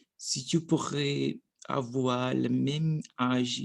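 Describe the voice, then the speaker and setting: A man is speaking. He has a Portuguese accent. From Brazil. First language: Portuguese (speaking French). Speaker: language learner vlogger. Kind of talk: language practice monologue. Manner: halting.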